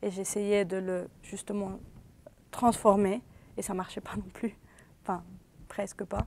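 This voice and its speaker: With a Spanish accent, a woman speaks at a very slow pace in a medium-pitched, monotone, flat voice, leaving long, frequent pauses. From Venezuela. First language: Spanish (speaking French). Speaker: interviewee, former student. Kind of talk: interview testimony. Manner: hesitant, with false starts.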